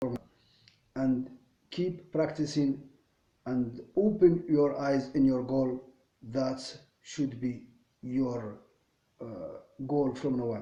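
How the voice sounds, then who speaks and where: A man with a non-native accent speaks at a very slow pace in a medium pitch and a dark, mellow tone, with ordinary pitch variation and long, frequent pauses. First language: not English. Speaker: English learner vlogger. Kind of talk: casual monologue. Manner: halting, many fillers and repetitions.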